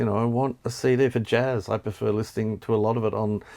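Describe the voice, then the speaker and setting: In an Australian accent, a man with a medium pitch speaks fairly quickly with fairly even intonation. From Tasmania, Australia. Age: 60s. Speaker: music journalist and author. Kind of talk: interview, quickfire questions. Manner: hesitant, many fillers.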